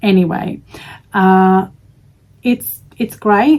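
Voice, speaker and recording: A woman's medium-pitched voice with an Australian accent and ordinary pitch variation. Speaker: crochet vlogger. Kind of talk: casual chat.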